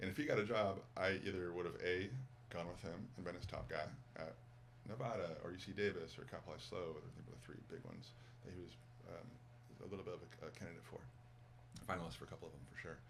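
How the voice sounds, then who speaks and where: Very deep and low in pitch, a man talks at a very fast pace with vocal fry. His pitch swings very widely, and room echo is audible. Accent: American. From Massachusetts, outside Boston. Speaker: former college basketball coach, yoga teacher. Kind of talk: casual interview chat. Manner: animated, repetitive with fillers.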